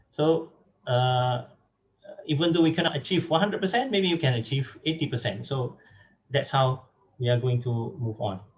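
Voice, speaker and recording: At a moderate pace, a man with a medium pitch speaks in a somewhat breathy voice, his intonation lively and broken by long, frequent pauses. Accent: Malaysian. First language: Malay. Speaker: academic speaker on translation. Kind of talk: lecture. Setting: online webinar. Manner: halting, many fillers.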